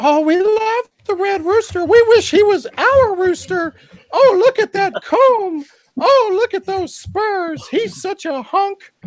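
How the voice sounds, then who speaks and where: A put-on character voice sounds squeaky at an extremely high pitch. It moves at a fairly slow pace. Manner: gushing, swooning.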